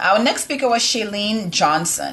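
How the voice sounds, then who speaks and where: A woman talks in a West Indian accent. Her pitch shows ordinary variation. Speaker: live show co-host. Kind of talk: casual live-stream recap.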